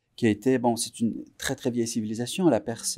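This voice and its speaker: A man's dark, mellow voice on a very clean recording with a silent background. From Iran (Tehran), moved to Quebec at 14. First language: Persian (Farsi) (speaking French). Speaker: musician. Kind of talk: interview. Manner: halting, many fillers and repetitions.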